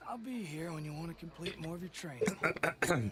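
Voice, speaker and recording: A man uses a raspy, put-on character voice pitched high. He speaks at a moderate pace. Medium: game stream. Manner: patient, repetitive.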